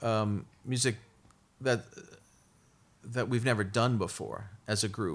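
This man's voice is medium in pitch. He talks with an American accent. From Brooklyn, New York. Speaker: orchestra conductor. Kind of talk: interview.

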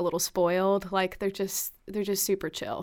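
On a very clean recording with a silent background, a woman with an American accent uses a normal speaking voice at medium pitch with fairly even intonation. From Alabama (Alabaster), US South. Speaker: actor and producer. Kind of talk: interview.

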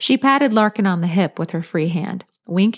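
With a quiet background, an unforced reading voice carries lively intonation.

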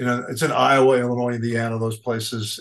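A man with a New York accent speaks at medium pitch and a moderate pace. The background is quiet. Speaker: commodity weather forecaster. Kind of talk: interview.

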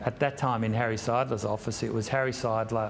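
This man speaks with an Australian accent at a moderate pace. His pitch is medium. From Sydney, Australia. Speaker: property investment executive. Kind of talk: interview. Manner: hesitant, many fillers.

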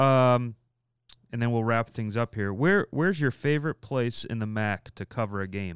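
Against a quiet background, a man with a plain, everyday voice of medium pitch speaks at a moderate pace with ordinary pitch variation. The sound is dry and close, with no echo. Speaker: podcast host. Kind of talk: casual chat.

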